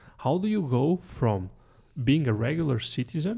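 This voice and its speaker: Lively intonation marks this man's somewhat breathy voice with a dark, mellow tone. The recording is very clean with a silent background. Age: 40s. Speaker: podcast host. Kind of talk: casual chat.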